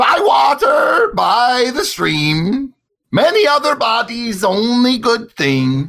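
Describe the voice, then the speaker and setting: A man shouts in a put-on character voice with an extremely high pitch. He keeps a very slow pace and very even loudness. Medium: actual play. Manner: clipped broken phrases.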